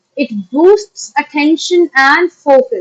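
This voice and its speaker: A woman's high-pitched voice with an Indian accent, dry and close with no echo. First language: Maithili. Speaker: online teacher. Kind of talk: lecture. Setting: live stream. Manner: halting, many fillers.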